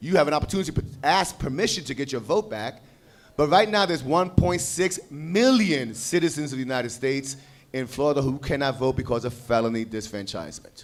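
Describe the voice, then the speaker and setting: The speaker has an animated tone and lively intonation at a fairly quick pace. Noticeable background noise sits behind the voice. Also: man, fairly high pitch for a man. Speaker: panel speaker on voting rights. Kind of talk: conference panel talk. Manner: fast.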